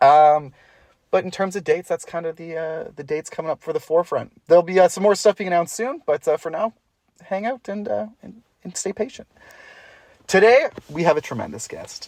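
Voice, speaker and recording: The speaker talks at a fairly quick pace with a Canadian accent. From Ontario, Canada. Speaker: podcast host and musician. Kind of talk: casual chat. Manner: like an auctioneer.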